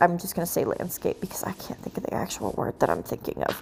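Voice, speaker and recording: A quiet woman's voice. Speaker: gaming YouTuber. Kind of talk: gameplay commentary. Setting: at home, late at night. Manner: quiet, hushed.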